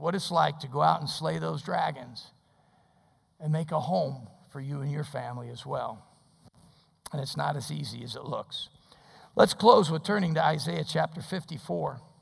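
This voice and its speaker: With vocal fry and fairly high pitch, a man talks at a moderate pace with ordinary pitch variation and long, frequent pauses. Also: big swings in loudness. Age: 60s. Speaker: pastor. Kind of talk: sermon. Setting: church.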